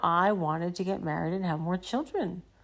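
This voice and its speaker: In an unremarkable speaking voice, a woman with fairly low pitch speaks with ordinary pitch variation. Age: 60s. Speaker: therapist and podcast host. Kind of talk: podcast monologue.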